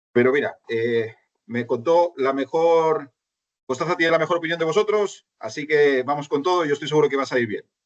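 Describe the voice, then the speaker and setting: A man with a slight Chilean accent, fairly high-pitched, at a fairly quick pace. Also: ordinary pitch variation. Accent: Spanish, slightly Chileanized. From Spain. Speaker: finance consultant and lecturer. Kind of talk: online lecture. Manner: conversational, with many fillers and restarts.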